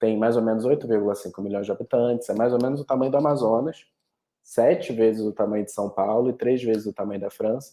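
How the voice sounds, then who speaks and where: Dark and mellow in tone, a man's medium-pitched voice moves at a very fast pace with fairly even intonation. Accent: Rio de Janeiro. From Rio de Janeiro, Brazil. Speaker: study abroad representative. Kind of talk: webinar presentation. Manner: halting, many repetitions and fillers.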